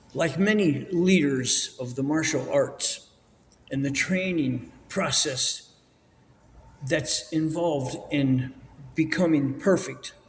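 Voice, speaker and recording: Long, frequent pauses break up a man's very slow speech. His pitch varies in an ordinary way, and audible room echo surrounds it. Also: fairly high pitch for a man. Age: 80s+. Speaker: martial arts instructor. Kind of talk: interview. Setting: auditorium with audience.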